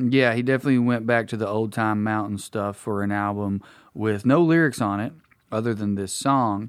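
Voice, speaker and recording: In a very clean recording with a silent background, a man with a fairly low voice and an Appalachian accent talks at a moderate pace with fairly even intonation. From Appalachia, Kentucky. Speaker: radio show co-host. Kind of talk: casual chat.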